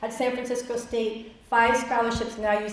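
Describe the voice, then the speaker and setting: Flat, monotone speech carries audible room echo and noticeable background noise. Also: woman. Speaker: workshop presenter, college financial aid counselor. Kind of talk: workshop presentation. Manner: fast.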